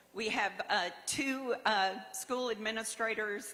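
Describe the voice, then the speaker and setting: At a very slow pace, a woman with an American accent speaks in a bright, sharp tone, her intonation fairly even. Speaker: award honoree. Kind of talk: acceptance speech. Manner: halting.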